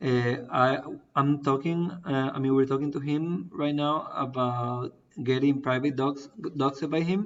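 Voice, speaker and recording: The words come at a fairly slow pace. They are spoken with a Spanish accent. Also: man, fairly high pitch for a man, ordinary pitch variation. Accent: non-native English, Spanish. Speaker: crypto project founder. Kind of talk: live AMA Q&A. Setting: online stream. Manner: halting, many fillers.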